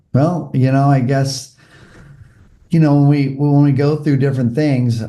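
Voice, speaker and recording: With an American accent, a man speaks in a dark, mellow tone, with audible room echo. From US West Coast, Malibu, California. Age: 60s. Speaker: former mayor and volunteer firefighter, podcast guest. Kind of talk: interview conversation.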